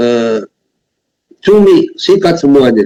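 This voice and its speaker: At a very slow pace, a man with a dark, mellow tone talks at a fairly high pitch with ordinary pitch variation. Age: 60s. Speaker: pastor. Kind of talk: sermon. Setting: video call.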